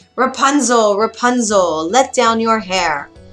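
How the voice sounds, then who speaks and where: The speaker puts on a character voice. Delivery is fairly slow. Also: female-sounding voice, fairly high pitch for a woman. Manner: imitating a witch's call.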